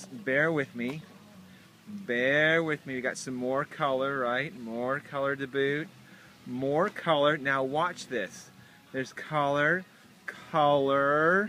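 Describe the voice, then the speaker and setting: A man at a very slow pace with long, frequent pauses, ordinary pitch variation, a dry sound with no echo and light background noise. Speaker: gardening vlogger. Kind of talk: casual vlog chat. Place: garden. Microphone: phone near.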